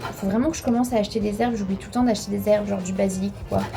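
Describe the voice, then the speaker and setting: A woman speaks in an animated tone. Audible room echo surrounds her voice. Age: 20s. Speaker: lifestyle vlogger. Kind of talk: casual vlog talk. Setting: at home, kitchen.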